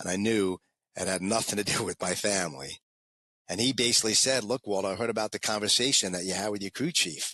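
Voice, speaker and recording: Speaking at a very fast pace in a New York accent, a man uses a bright, sharp tone with fairly low pitch and ordinary pitch variation. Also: dry, close sound with no echo. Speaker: former fighter pilot and motivational speaker. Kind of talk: interview storytelling.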